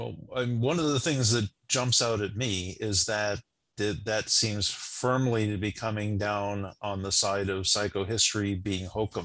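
A man's plain, everyday voice, fairly low in pitch with ordinary pitch variation, at a fairly slow pace against a quiet background. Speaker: podcast host. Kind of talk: casual discussion.

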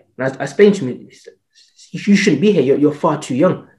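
The man's voice is somewhat breathy, with a dark, mellow tone. He speaks at a fairly quick pace with lively intonation. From England, Jamaican heritage. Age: 30s. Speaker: fitness entrepreneur. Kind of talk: interview conversation.

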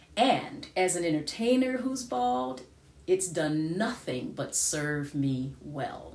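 Speaking very slowly with an American accent, a woman uses a very deep, low pitch and lively intonation, with audible room echo and noticeable background noise. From United States. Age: 50s. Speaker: podcaster and singer. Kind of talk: personal monologue.

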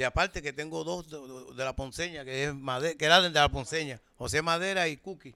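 On a very clean recording with a silent background, a man speaks fairly quickly in a bright, sharp tone, fairly high in pitch with ordinary pitch variation. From Puerto Rico, Loíza. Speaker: bandleader and music teacher. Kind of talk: casual interview. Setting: band rehearsal.

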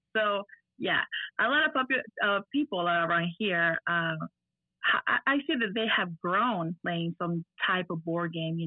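A fairly low-pitched woman with an Argentinian accent at a moderate pace. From Argentina. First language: Spanish. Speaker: miniature painter and gamer. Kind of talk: casual interview.

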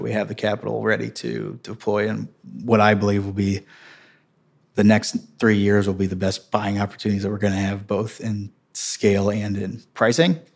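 A man's fairly low voice in a Midwestern American accent, at a moderate pace with fairly even intonation. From Missouri, St. Louis area. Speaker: real estate investment executive. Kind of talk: interview.

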